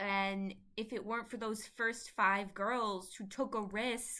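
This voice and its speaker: Her voice is raised and projected as the woman speaks at a fairly slow pace. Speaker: fan commentator. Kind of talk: emotional monologue. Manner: halting.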